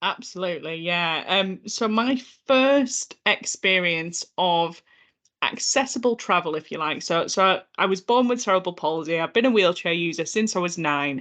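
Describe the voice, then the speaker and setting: In a Yorkshire accent, a woman speaks at a moderate pace. Her pitch is medium and her intonation lively. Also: quiet background. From northern England, North Yorkshire. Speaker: accessibility consultant. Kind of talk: podcast interview.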